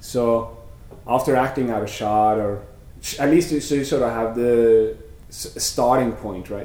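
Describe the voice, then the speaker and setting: Recorded with audible room echo and noticeable background noise, a man with a Norwegian accent talks at a fairly slow pace and a medium pitch with ordinary variation. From Norway (Sandefjord). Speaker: animator. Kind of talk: interview. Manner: halting, many fillers.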